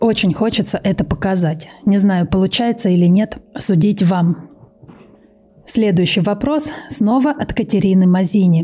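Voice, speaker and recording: The speaker talks fairly slowly with lively intonation and very even loudness. Noticeable background noise sits behind the voice. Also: woman, medium pitch for a woman. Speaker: true crime podcaster. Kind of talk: casual chat. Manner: improvised.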